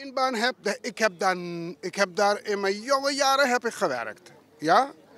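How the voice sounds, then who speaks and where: A man speaks at a high pitch in a raised, projected voice with lively intonation at a fairly slow pace. The sound is dry and close with no echo, though there is noticeable background noise. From Suriname. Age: 70s. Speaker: retiree interviewed at a market. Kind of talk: street interview. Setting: outdoors at a market.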